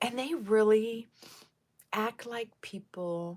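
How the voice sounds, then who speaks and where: This woman has a plain, everyday voice. Her pitch is fairly high, with ordinary variation. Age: 60s. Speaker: lifestyle vlogger. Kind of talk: casual livestream chat with viewers. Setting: live stream on camera. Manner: chatty, with frequent fillers.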